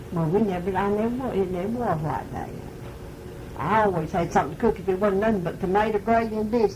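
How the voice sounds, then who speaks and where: With noticeable background noise behind her, a woman talks very fast at a medium pitch with ordinary pitch variation. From Mississippi. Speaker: grandmother recalling rural life in the 1930s. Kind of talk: oral history interview answer. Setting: home tape recording.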